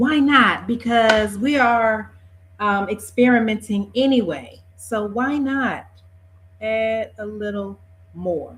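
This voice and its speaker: Her voice is somewhat breathy, a woman's fairly high pitch with ordinary variation. She speaks at a very slow pace. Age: 50s. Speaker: beauty vlogger. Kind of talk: casual talk to camera. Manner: chatty, relaxed.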